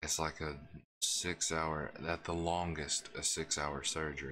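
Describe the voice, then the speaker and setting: A man speaks quietly with a very deep, low pitch and a bright, sharp tone. His intonation is monotone and flat, over light background noise. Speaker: gaming streamer. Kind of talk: live gameplay stream chat. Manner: quiet and hushed. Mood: earnest, reflective. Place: home room.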